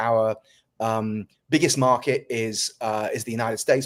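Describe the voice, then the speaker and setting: A man with a British accent speaks at a medium pitch with fairly even intonation. The recording is very clean, with a silent background. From North Wales. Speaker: tech company founder and CEO. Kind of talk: interview.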